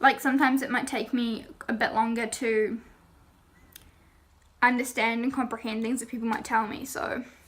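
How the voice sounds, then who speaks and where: With an English accent, a woman speaks at a moderate pace in a high pitch and a monotone, flat intonation, her loudness swinging widely and her speech broken by long, frequent pauses. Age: young. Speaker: youtuber. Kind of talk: casual talk to camera.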